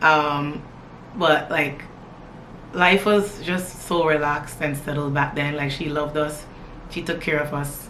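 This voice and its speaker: A woman's very deep, low voice at a fairly slow pace with long, frequent pauses and fairly even intonation, amid audible room echo and noticeable background noise. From Toronto area, Canada (born in Jamaica, moved at nine). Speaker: lifestyle vlogger. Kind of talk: casual get-to-know-me chat to camera.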